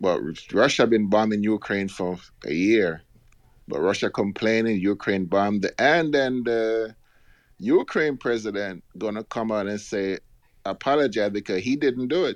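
A man with a normal speaking voice keeps a fairly low pitch, ordinary pitch variation and a moderate pace. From outside the US, immigrant. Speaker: caller. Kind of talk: call-in talk radio.

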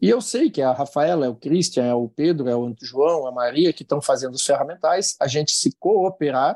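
A man's fairly high voice with a dark, mellow tone at a moderate pace against a quiet background. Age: 60s. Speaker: industry association president. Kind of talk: interview.

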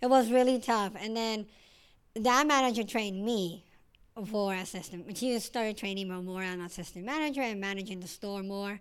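A woman speaks at a moderate pace with a Mexican accent and ordinary pitch variation. Her loudness swings widely in a very clean recording with a silent background. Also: medium pitch for a woman. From Mexico, Sinaloa. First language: Spanish. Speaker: hair salon manager. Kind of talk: casual interview.

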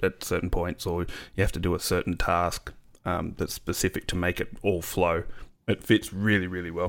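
Here a man speaks with an Australian accent. His pitch is very deep and low, and his pace is moderate. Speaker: podcast host. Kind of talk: casual chat. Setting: remote call.

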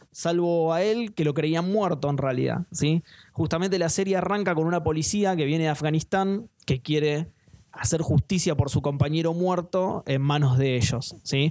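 A man in a Rioplatense accent talks at a moderate pace with a fairly high pitch, ordinary pitch variation and very even loudness. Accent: Argentine Rioplatense Spanish. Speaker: podcast host. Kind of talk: casual chat.

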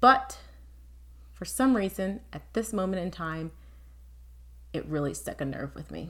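A woman speaks at a fairly slow pace, with big swings in loudness and long, frequent pauses. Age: 30s. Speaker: podcast host. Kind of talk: scripted monologue.

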